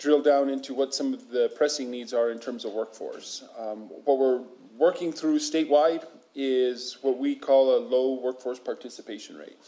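A man speaks with a dark, mellow tone. His pace is moderate and his intonation fairly even. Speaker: state official presenting to council. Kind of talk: formal presentation. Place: meeting room.

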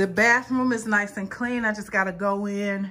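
A woman speaks at a fairly slow pace in a bright, sharp tone. Her intonation stays fairly even.

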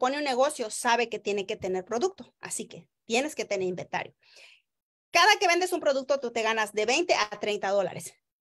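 A woman with a Mexican accent speaks at a fairly quick pace in a high, animated voice, her pitch swinging very widely and her loudness rising and falling sharply against a quiet background. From Oaxaca, Mexico (rural village). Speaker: network marketing distributor; direct sales promoter. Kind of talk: sales pitch livestream. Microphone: video call.

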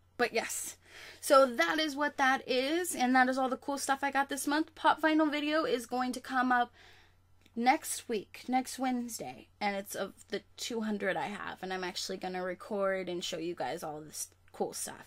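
The speaker talks at a moderate pace with very wide pitch swings. The background is quiet. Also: woman, high pitch for a woman. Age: 20s. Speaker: YouTuber, college student; YouTuber. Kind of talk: casual vlog. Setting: home webcam recording. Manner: animated. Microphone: webcam.

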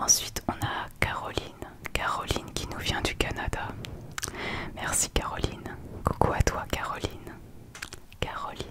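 A woman speaking at a fairly slow pace with long, frequent pauses, over loud background noise. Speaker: ASMR creator. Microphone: studio mic.

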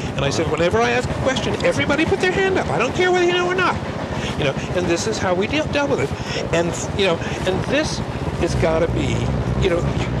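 A man rattles off his words at a very fast pace while loud background noise fills the clip. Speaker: teacher recounting a class. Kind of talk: interview answer. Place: train.

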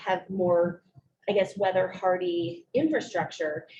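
A woman at medium pitch, speaking at a fairly slow pace. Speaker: state housing official. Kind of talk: public hearing Q&A answer. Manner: loud.

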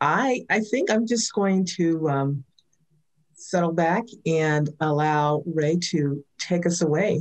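Against a quiet background, a woman speaks very slowly at a fairly low pitch, with ordinary pitch variation and very even loudness. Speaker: talk show host; host. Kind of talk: introduction. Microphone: video call.

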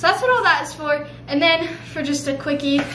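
A woman talks at a fairly quick pace in a raised, projected voice. Noticeable background noise runs underneath. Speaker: vlogger. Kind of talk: casual vlog chat. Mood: cheerful, playful. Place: kitchen.

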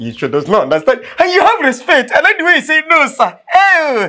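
In a very clean recording with a silent background, a man does a put-on character voice at an extremely high pitch, with very wide pitch swings, a bright, sharp tone and a fairly quick pace.

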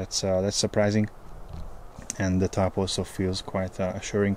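A man speaks at a moderate pace with a low pitch and a slightly mellow tone. His intonation stays monotone and flat.

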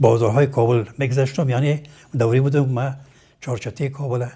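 A man's somewhat breathy, dark and mellow voice with fairly even intonation. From Afghanistan, Kabul. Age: 80s+. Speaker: retired surgeon and medical professor; medical professor. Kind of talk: interview. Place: home room. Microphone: lapel.

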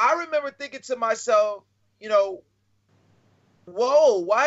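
The delivery comes at a fairly slow pace with lively intonation. The background is quiet. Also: man. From US South. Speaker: comedian and reading educator; comedian, reading educator. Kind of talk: casual interview. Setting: video call. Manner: laid-back, laughs often. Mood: relaxed, reflective. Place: home room. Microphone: video call.

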